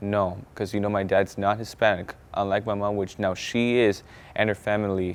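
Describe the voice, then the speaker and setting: A man with a fairly low pitch speaks at a moderate pace. His intonation stays monotone and flat. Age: 20s. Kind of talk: personal testimony. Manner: halting, with repetitions and restarts.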